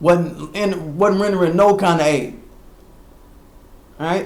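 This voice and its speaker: A man speaks loudly at a high pitch with fairly even intonation. Audible room echo surrounds his voice. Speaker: internet radio host. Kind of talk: casual commentary livestream.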